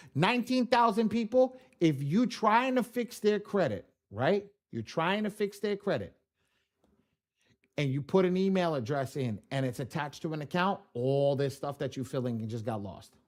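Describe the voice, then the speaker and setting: On a very clean recording with a silent background, a man speaks in a high pitch with very wide pitch swings. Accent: New York. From New York. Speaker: credit repair software trainer. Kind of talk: live tutorial. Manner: fast; casual.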